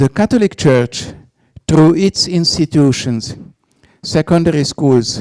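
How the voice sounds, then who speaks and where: This man has a Hungarian accent and a fairly high pitch, with lively intonation. He talks fairly slowly with long, frequent pauses, in a dry, close sound with no echo. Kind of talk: reading a prepared speech. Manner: formal.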